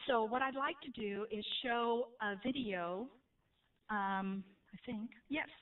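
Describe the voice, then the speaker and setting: Pausing long and often, a woman speaks at a very slow pace. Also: fairly high pitch for a woman, ordinary pitch variation. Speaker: trainer presenting to educators. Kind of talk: training presentation.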